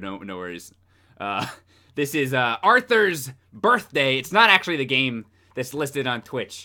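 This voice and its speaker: In an animated way, a man speaks at a medium pitch with a bright, sharp tone. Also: quiet background. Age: 20s. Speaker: gaming streamer. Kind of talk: live gameplay stream chat. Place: home room.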